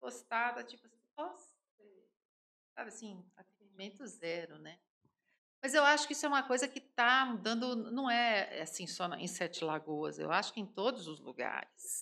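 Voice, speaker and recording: A woman talks at a moderate pace in a fairly high voice that is bright and sharp, with vocal fry. Her pitch swings very widely, and her loudness shifts a great deal. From São Paulo city, Brazil. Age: 50s. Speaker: home baker and entrepreneur. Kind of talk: casual interview.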